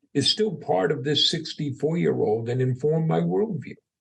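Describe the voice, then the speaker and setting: With an American accent, a man speaks at a moderate pace. His pitch makes very wide swings. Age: 60s. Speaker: entrepreneur. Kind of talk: podcast interview.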